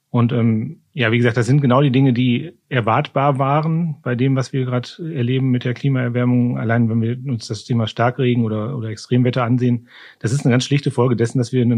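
Very fast in pace, a man's speech holds fairly even intonation. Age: 50s. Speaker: climate official at a county administration. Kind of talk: interview. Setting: studio, seated at a distance.

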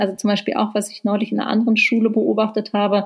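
Somewhat breathy, a woman talks at a very fast pace in a fairly high voice. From Berlin, Germany. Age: 40s. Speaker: author and journalist. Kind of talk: interview. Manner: hesitant, many fillers.

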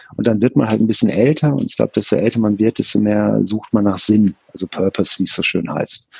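Hardly any pauses break up this very fast delivery. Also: man. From Ruhr area, Germany (Bochum). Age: 50s. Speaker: esports foundation director. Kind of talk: interview. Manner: hesitant with many fillers.

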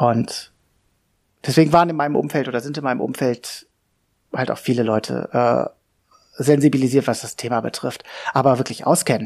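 Pausing long and often, a man speaks at medium pitch with fairly even intonation. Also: moderate pace. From Hannover, northern Germany. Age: 40s. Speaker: podcaster talking about his depression. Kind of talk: personal monologue. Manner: halting, many fillers.

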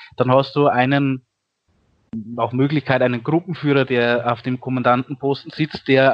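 The speaker is a man with a moderate pace. His delivery stays monotone and flat. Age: 30s. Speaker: volunteer firefighter. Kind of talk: interview.

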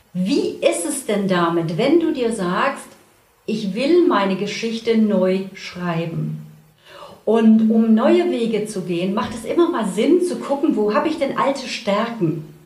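Amid noticeable background noise and audible room echo, a woman speaks very slowly at a fairly high pitch with very wide pitch swings. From Saxony, Germany. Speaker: story coach. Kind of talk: casual interview. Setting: in-person studio.

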